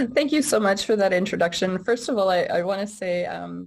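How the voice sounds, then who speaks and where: In a Canadian accent, a woman uses a plain, everyday voice at medium pitch, with lively intonation and a moderate pace over a quiet background. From Alberta, Canada. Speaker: government housing advocate. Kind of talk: introductory remarks.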